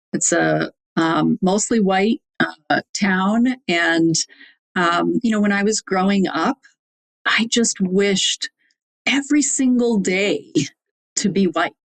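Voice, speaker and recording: This woman speaks very slowly with a Wisconsin accent, taking long, frequent pauses. Her pitch is medium, with ordinary variation and very even loudness. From US Midwest, Wisconsin (Fond du Lac). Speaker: executive coach. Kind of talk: podcast interview. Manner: hesitant, many fillers.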